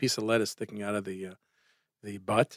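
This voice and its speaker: A man speaks with a Brooklyn accent. The sound is dry and close, with no echo. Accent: New York (Brooklyn). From Brooklyn, New York. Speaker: urologist. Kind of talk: casual interview chat. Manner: animated.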